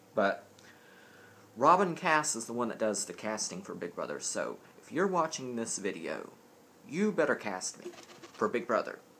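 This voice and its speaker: At a moderate pace, a man with a Southern US accent speaks with very wide pitch swings. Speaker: vlogger. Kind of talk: casual vlog. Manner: rambling, distracted.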